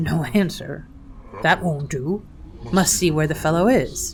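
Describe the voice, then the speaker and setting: A gruff, put-on character voice at middle pitch, fairly slow, over clear background noise. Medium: read story. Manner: grim, curt.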